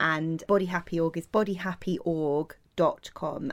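A woman speaks at a fairly slow pace in a fairly low pitch, with a British accent. The recording is very clean, with a silent background. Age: 30s. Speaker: body image campaigner and author. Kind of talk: casual chat.

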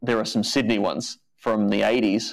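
Captured in a very clean recording with a silent background, a man talks at a medium pitch. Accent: Australian. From Australia (Adelaide). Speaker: comedy writer and web series creator. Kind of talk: casual chat.

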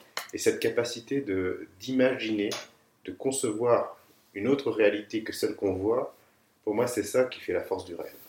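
Long, frequent pauses from a man talking at a moderate pace. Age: 30s. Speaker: landscape architect. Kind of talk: interview testimony. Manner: hesitant, with many fillers.

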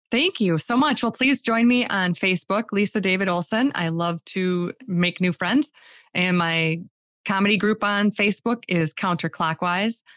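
An ordinary speaking voice with an American accent at a moderate pace, with ordinary pitch variation and very even loudness, in a very clean recording with a silent background and a dry, close sound with no echo. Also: woman, medium pitch for a woman. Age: 50s. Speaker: speaker and humor mentor. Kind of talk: interview.

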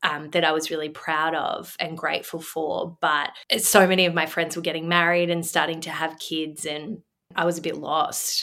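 A woman speaks in an Australian accent at a moderate pace. Her pitch is fairly low and her intonation monotone and flat. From Australia, Melbourne. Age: 30s. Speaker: businesswoman and mother. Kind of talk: casual chat. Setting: video call.

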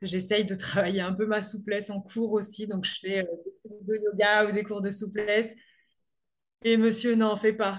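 Her medium-pitched voice stays monotone and flat as the woman talks at a fairly slow pace. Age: 30s. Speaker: amateur pole dancer. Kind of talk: casual interview. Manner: halting, many hesitations.

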